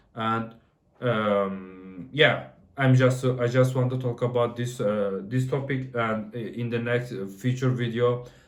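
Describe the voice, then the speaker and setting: In a room with audible echo, a man at medium pitch talks at a fairly slow pace with fairly even intonation. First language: not English. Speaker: software developer. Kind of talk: casual talk to camera. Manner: halting, many fillers and restarts.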